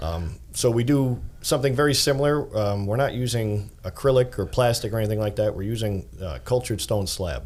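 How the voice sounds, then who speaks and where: With lively intonation and a slight Long Island accent, a man speaks at medium pitch in a somewhat breathy voice. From Long Island, New York. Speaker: bathroom renovation business owner. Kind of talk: casual interview.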